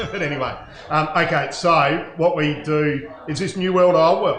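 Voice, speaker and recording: In a strong Australian accent, a man with a fairly high voice talks fairly slowly in a flat monotone, with audible room echo and noticeable background noise. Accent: broad Australian. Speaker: winemaker. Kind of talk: casual chat.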